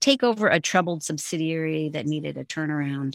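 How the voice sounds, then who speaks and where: A woman's very deep, low voice at a very fast pace, with an American accent and a dry, close sound with no echo. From US West Coast, San Francisco. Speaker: former corporate executive and author. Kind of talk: interview.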